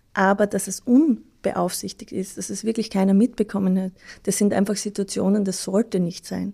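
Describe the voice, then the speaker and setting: A dark, mellow, somewhat breathy tone with fairly even intonation at a moderate pace, on a very clean recording with a silent background. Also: woman, medium pitch for a woman. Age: 30s. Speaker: nurse. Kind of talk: interview. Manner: halting, with fillers.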